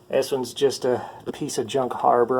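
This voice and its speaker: Background noise is noticeable throughout. The speaker is a man. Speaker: handyman. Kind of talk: tutorial. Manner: casual with filler words; quiet, soft-spoken.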